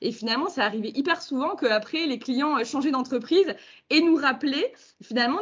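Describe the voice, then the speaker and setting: Animated and high-pitched, a woman speaks with lively intonation. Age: 40s. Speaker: company co-founder. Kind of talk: interview conversation.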